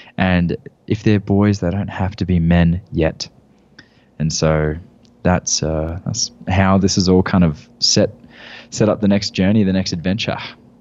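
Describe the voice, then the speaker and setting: Speaking with an Australian accent, a man with a very deep, low pitch takes a fairly slow pace and a calm tone, keeping his intonation fairly even and leaving long, frequent pauses. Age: 20s. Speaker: men's work facilitator and former personal trainer. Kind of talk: casual interview chat. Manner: calm, grounded.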